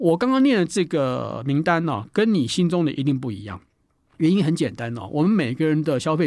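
A man speaks at a fairly quick pace with a fairly high pitch. His pitch swings very widely. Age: 60s. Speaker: author. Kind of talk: book talk.

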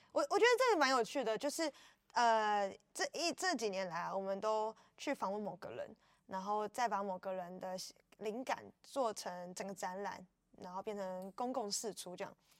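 This is a normal speaking voice with ordinary pitch variation and a moderate pace. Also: woman, medium pitch for a woman. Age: 20s. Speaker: art festival curator and artist. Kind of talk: casual interview chat. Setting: on site at outdoor art festival.

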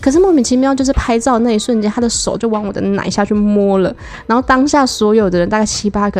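A woman talks at a very fast pace with a fairly high pitch. Her pitch varies in an ordinary way over noticeable background noise. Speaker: podcast guest sharing sex life stories. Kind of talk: casual chat.

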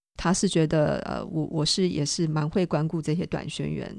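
A woman with an ordinary speaking voice talks at a moderate pace, her fairly low pitch carrying fairly even intonation. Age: young. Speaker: mission organization director. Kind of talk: radio interview.

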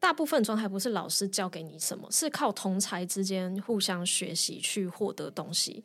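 In an unremarkable speaking voice, a woman speaks at a moderate pace with medium pitch and lively intonation on a very clean recording with a silent background. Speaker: designer and yoga teacher, former lawyer. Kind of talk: interview conversation.

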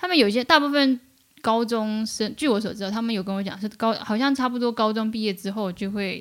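A woman with an ordinary speaking voice talks at a fairly quick pace and fairly high pitch, with ordinary pitch variation. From mainland China from age 10, born in Taiwan. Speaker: media worker, freelance journalist. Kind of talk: casual interview chat.

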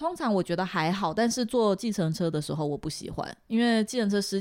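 The pace is fairly quick. Pitch varies an ordinary amount. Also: woman. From Taiwan. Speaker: Taiwanese expat living in Shanghai. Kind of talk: casual interview chat. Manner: not soft or gentle in tone.

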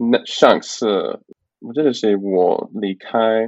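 A man's fairly low-pitched voice. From Canada. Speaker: Mandarin learner, tourist. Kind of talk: interview. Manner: halting, many fillers.

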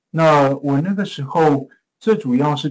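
A man with a Taiwanese accent speaks at a very slow pace. His pitch is fairly high. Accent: Taiwanese Mandarin. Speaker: pharmaceutical innovation executive. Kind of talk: interview.

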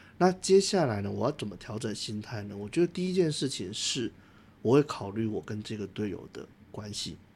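A somewhat breathy man at a fairly low pitch and fairly quick pace, with very wide pitch swings and big swings in loudness. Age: 30s. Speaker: podcast co-host. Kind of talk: casual discussion; scripted narration.

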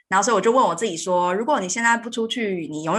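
A woman with a medium-pitched voice talks very fast, her intonation lively. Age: 30s. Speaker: podcast host and software engineer. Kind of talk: interview.

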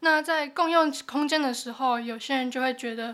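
A high-pitched woman's voice on a very clean recording against a silent background. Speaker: journalism student. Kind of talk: casual interview.

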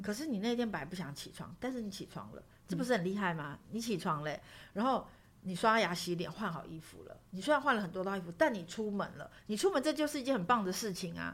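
Speaking at a very fast pace, a woman sounds somewhat breathy at a medium pitch. Her voice has very wide pitch swings and big swings in loudness. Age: 40s. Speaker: writer. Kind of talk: interview.

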